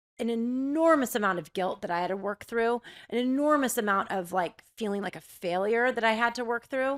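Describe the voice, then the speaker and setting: A woman's fairly high, animated voice at a moderate pace, with ordinary pitch variation, on a very clean recording with a silent background. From Southern California. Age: 40s. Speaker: former TV journalist. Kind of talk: podcast interview.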